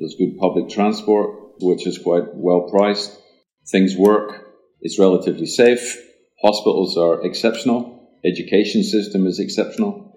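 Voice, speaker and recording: With a dark, mellow tone and fairly low pitch, a man speaks with fairly even intonation and long, frequent pauses. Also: moderate pace. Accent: Scottish. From Scotland. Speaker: podcast guest, expat in Sweden. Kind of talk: casual interview chat. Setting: studio.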